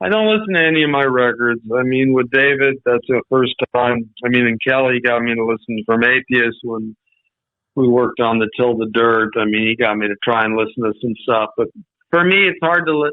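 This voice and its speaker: A man's medium pitch shifts by an ordinary amount as he talks at a fairly quick pace. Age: 60s. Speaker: retired metal record producer. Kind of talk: casual interview chat. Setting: radio interview. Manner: halting.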